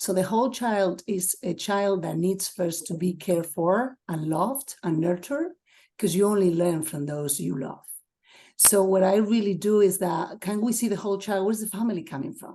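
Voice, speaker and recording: Here is a woman with a Spanish accent. Her tone is dark and mellow. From Spain, Asturias. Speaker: assistant principal. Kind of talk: webinar talk.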